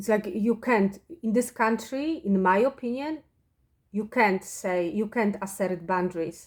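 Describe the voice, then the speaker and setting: Her pitch is medium, with ordinary pitch variation and a Polish accent. The woman speaks at a fairly slow pace. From Poland. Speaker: spiritual vlogger. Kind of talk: personal monologue. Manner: halting.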